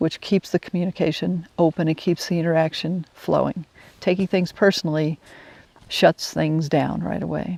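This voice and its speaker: Her fairly low, dark, mellow voice carries vocal fry as the woman speaks in a monotone, flat way. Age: 60s. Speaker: wilderness guide. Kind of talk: personal storytelling monologue. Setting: outdoors, camping in the woods. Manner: halting, frequent restarts.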